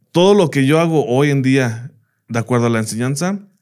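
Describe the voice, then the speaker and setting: A man with an unremarkable speaking voice talks at a moderate pace and medium pitch in a very clean recording with a silent background. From United States. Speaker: teacher. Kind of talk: casual interview chat.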